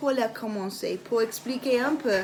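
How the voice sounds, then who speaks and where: Music plays in the background as a woman with an Irish accent speaks. Her pitch is high and her pace very slow. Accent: non-native French, Irish English speaker. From Ireland. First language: English (speaking French). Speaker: essential oils seller. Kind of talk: product demonstration. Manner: halting, many hesitations and repetitions.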